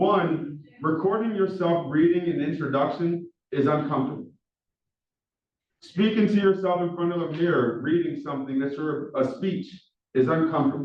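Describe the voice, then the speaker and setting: Speech at a moderate pace with a Philadelphia accent. There is audible room echo, and the pauses are long and frequent. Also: man, fairly high pitch for a man. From Philadelphia, US. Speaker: professor. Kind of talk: lecture. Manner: monotone.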